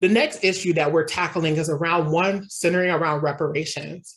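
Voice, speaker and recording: Somewhat breathy, a woman with an American accent talks at a fairly quick pace. Her pitch is very deep and low, with fairly even intonation. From Kansas City, Missouri. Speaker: nonprofit operations officer and activist. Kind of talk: sermon-style talk to a congregation.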